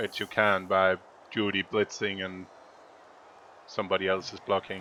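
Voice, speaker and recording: Speaking in a Danish accent at a moderate pace, a man with a fairly low pitch has a bright, sharp tone and a monotone, flat intonation. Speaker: video game commentator and coach. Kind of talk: game commentary and coaching. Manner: thinking aloud with hesitations.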